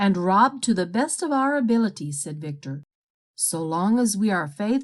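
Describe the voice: The speaker is heard in plain reading aloud with lively intonation against a quiet background.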